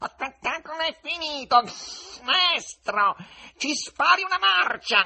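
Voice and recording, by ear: In a growling, put-on character voice, the speaker goes at a fairly slow pace with long, frequent pauses. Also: man, extremely high pitch for a man.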